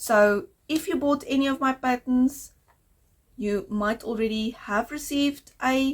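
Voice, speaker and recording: Intonation is lively as the speech keeps a moderate pace. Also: woman. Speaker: knitting podcaster. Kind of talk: casual video podcast monologue.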